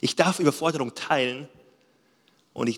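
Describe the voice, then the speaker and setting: A man speaks in an animated tone. His pitch is fairly high. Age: 30s. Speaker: pastor. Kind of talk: sermon.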